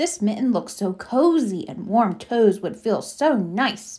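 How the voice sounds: Putting on a character voice, a woman speaks slowly at a medium pitch with big pitch swings, a slightly mellow tone and a slightly husky edge.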